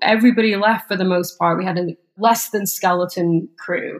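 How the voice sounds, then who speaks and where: A woman with an English accent speaks at a moderate pace with ordinary pitch variation. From England, small town. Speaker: startup co-CEO. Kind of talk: interview.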